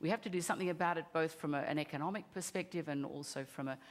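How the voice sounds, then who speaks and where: Very fast and fairly even in intonation, a woman speaks with an Australian accent and a very deep, low pitch. The recording is very clean, with a silent background. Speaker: company CEO. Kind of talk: conference pitch.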